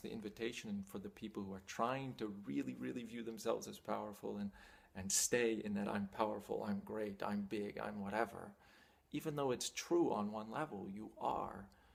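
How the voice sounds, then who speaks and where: A man talks in an ordinary speaking voice, pitched fairly low. He keeps a moderate pace. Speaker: spiritual teacher. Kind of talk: talking-head teaching monologue.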